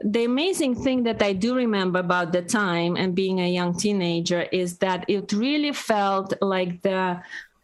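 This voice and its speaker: Lively intonation at a moderate pace, in a Russian accent. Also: woman. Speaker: podcast co-host. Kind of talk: casual chat.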